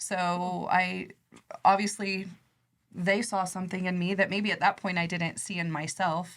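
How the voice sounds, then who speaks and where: In a very clean recording with a silent background, a soft-spoken woman with a Midwestern American accent talks at a fairly slow pace and medium pitch. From Nebraska, US Midwest. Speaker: credit union executive. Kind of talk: podcast interview.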